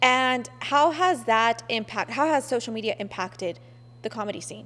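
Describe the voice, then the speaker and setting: Big swings in loudness run through a plain, everyday voice. Intonation is lively and the pace is moderate. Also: woman, fairly high pitch for a woman. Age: 20s. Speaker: podcast host. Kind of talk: interview.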